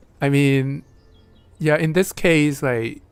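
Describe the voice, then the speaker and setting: This voice has a non-native accent and a fairly slow pace. The recording is very clean, with a silent background. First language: not English. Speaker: board game stream host and commentator. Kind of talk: live game commentary.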